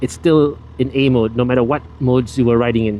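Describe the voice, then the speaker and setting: Over noticeable background noise, the speaker talks at a moderate pace with ordinary pitch variation. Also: man. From Malaysia. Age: 40s. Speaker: motovlogger. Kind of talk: casual riding vlog narration. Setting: on a motorbike outdoors.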